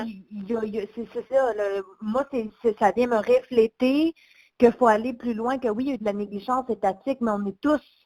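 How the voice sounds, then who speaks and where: The speaker talks in a Quebec accent at a moderate pace, with a dark, mellow tone and fairly even intonation. The sound is dry and close with no echo. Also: woman, fairly high pitch for a woman. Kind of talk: interviewer.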